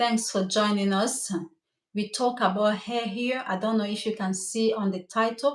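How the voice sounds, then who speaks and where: A woman's fairly high-pitched voice with a Cameroonian French accent, at a moderate pace. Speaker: hair stylist. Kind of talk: live stream talk. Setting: livestream. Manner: animated.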